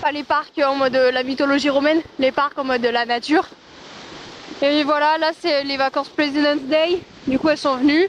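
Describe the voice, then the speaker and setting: A woman speaks loudly at a moderate pace with a high pitch. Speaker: travel vlogger. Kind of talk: casual vlog narration. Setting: outdoors in Iceland. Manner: animated, rambling with many fillers.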